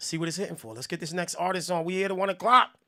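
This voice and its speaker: In a New Jersey accent, a man speaks with a high, bright, sharp and animated tone on a very clean recording with a silent background. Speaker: music review show host. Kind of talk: live music review stream. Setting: live broadcast. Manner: casual, animated.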